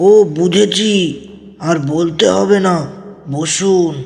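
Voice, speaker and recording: A man performs a put-on character voice at a high pitch. There is clear echo on the recording. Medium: audio drama. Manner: curt, brusque.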